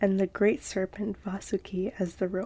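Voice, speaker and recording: A soft-spoken woman talks at a fairly slow pace in a calm, somewhat breathy voice of medium pitch, dark and mellow in tone with flat, monotone intonation. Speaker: ASMR content creator. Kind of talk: ASMR story reading. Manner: soft-spoken, calm, slow.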